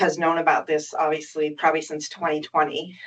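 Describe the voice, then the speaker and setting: A woman talks with a fairly low pitch. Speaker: resident giving public testimony. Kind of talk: public testimony. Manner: hesitant with fillers.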